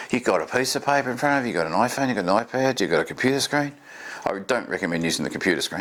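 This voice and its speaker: A man speaks very fast with an Australian accent and lively intonation. His pitch is medium, and there is noticeable background noise. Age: 50s. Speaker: vlogger. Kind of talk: casual talk to camera. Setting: home desk, recorder 15 ft away. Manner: fast in talking-head videos. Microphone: far from the recorder.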